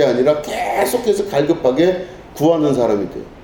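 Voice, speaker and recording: The intonation is lively and the pace fairly quick. Noticeable background noise and audible room echo surround the voice. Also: man. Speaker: pastor. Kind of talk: sermon.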